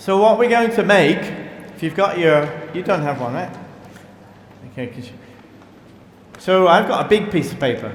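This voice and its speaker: Over noticeable background noise and audible room echo, a man with a British accent speaks at a moderate pace in a high pitch, with lively intonation, big swings in loudness, and long, frequent pauses. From Britain. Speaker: priest. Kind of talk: sermon. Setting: church. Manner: halting.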